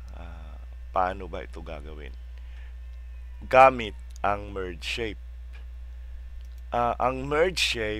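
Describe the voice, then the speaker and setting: With vocal fry in his very deep, low voice, a man speaks at a very slow pace with long, frequent pauses, fairly even intonation and big swings in loudness, and audible room echo surrounds him. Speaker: software tutorial youtuber. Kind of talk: tutorial. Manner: halting, many fillers.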